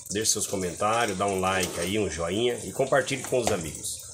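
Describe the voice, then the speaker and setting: Over noticeable background noise, a man talks at a moderate pace in a fairly low voice. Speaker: home gardener vlogger. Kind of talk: casual vlog chat. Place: garden. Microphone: phone near.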